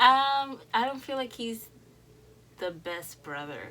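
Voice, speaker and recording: A woman with a Dominican accent speaks fairly slowly in a bright, sharp tone with lively intonation. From Dominican Republic. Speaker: YouTube reaction creator. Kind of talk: casual reaction video talk. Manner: casual, halting with fillers.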